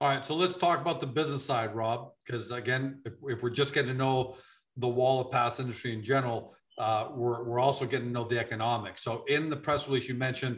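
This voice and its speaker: A man with a plain, everyday voice talks at a fairly quick pace, with medium pitch and fairly even intonation. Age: 50s. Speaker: business interviewer. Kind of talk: interview.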